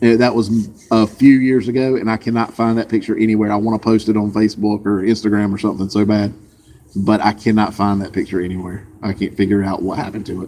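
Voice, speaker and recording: The speech comes at a very fast pace. Its intonation is monotone and flat. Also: man, fairly low pitch for a man. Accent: Southern US. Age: 40s. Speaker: vlogger. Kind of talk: casual chat. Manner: casual, hesitant.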